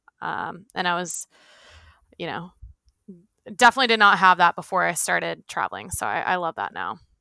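Speaking at a fairly quick pace with long, frequent pauses, a woman with an American accent has a bright, sharp tone and vocal fry, recorded with a dry, close sound and no echo. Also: fairly low pitch for a woman, lively intonation. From Pennsylvania, outside Philadelphia. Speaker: traveler. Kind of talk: casual interview.

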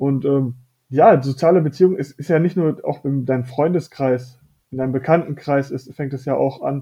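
A man speaks at a moderate pace with a fairly high pitch and a somewhat breathy voice. His intonation stays fairly even. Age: 20s. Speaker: fitness coaching client. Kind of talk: casual interview chat.

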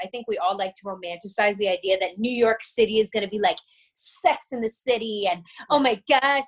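At a moderate pace, a woman talks in an unremarkable speaking voice, fairly high in pitch with ordinary variation. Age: 30s. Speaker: blogger and writer. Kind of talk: casual interview chat.

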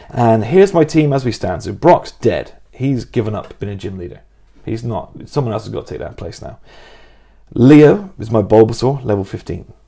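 A man with an English accent speaks at a moderate pace in a medium pitch, his dark, mellow tone somewhat breathy, with lively intonation and big swings in loudness. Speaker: podcast co-host. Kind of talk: casual chat.

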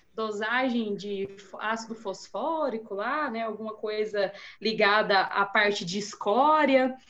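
A woman talks at a very slow pace. Her pitch is fairly high, with ordinary pitch variation. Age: 30s. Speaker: soil scientist. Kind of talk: technical discussion.

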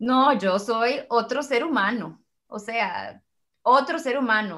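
A woman with a Costa Rican accent at a very slow pace, fairly high in pitch, with lively intonation. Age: 30s. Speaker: mother and workshop leader. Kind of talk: casual chat. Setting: video call.

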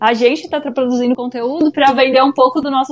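This woman's voice is high-pitched, with fairly even intonation at a moderate pace. Noticeable background noise runs under it. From Brazil, interior of São Paulo state. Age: 30s. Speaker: yoga teacher and psychologist. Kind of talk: casual chat.

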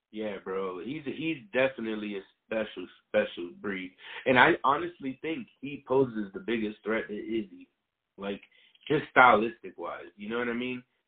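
Speaking at a moderate pace, a man with a plain, everyday voice keeps a medium pitch and ordinary pitch variation while his loudness swings widely. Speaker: co-host MMA commentator. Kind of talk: casual chat about MMA, profane.

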